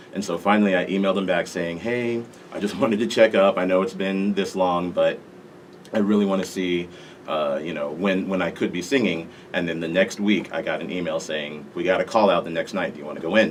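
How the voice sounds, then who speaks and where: At a fairly quick pace, a man with a very deep, low pitch speaks with fairly even intonation over noticeable background noise. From Las Vegas, Nevada, US. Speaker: national anthem singer. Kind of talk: interview.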